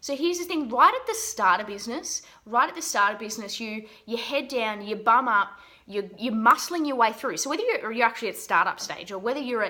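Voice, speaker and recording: A woman's fairly high, animated voice in an Australian accent, with lively intonation at a fairly quick pace. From Australia, Geelong. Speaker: business mindset coach. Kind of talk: motivational talk to camera.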